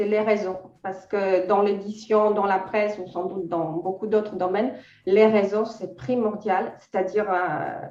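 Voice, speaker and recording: A woman's medium-pitched voice at a fairly slow pace, fairly even intonation, and audible room echo. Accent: Polish. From Poland. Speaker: freelance editor. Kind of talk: interview. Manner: hesitant, many fillers.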